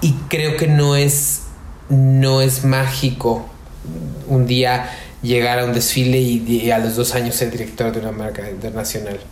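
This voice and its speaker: With audible room echo and noticeable background noise, a man speaks fairly slowly with fairly even intonation. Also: medium pitch for a man. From Mexico, Querétaro. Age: 30s. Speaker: fashion marketing and PR expert. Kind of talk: interview.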